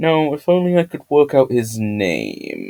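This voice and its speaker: A man speaks with a British accent at a medium pitch, his tone dark and mellow. The sound is dry and close, with no echo. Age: young. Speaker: YouTube lore theorist. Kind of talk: scripted video essay with asides. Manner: flat, not very expressive. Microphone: new microphone.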